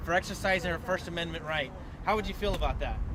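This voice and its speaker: A loud, animated man's voice, high in pitch with ordinary variation, over noticeable background noise. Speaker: activist organizer. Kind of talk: public meeting speech.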